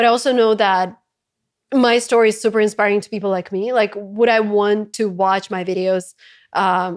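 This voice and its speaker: Over a quiet background, a woman with a Russian accent speaks at a medium pitch and moderate pace. Her intonation is fairly even while her loudness swings widely. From Russia, Saint Petersburg. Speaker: content creator and entrepreneur. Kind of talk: interview conversation.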